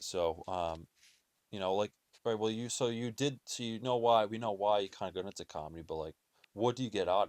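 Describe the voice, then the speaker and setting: A man mumbles quietly at a fairly quick pace, with a fairly low pitch, ordinary pitch variation and big swings in loudness. The very clean recording has a silent background and a dry, close sound with no echo. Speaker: podcast host. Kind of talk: casual chat. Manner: mumbling.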